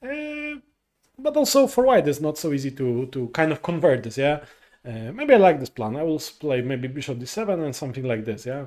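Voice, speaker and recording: Speech in a Polish accent moves at a fairly quick pace, with lively intonation and big swings in loudness. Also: man, fairly high pitch for a man. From Poland. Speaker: chess commentator. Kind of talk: live commentary. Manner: halting, many fillers.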